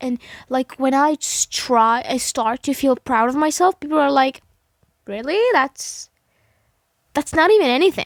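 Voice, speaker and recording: A woman with a high pitch and ordinary pitch variation speaks at a fairly slow pace, leaving long, frequent pauses, on a very clean recording with a silent background. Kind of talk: casual talk to camera. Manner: sleepy, slurred, halting; halting, struggling to form sentences.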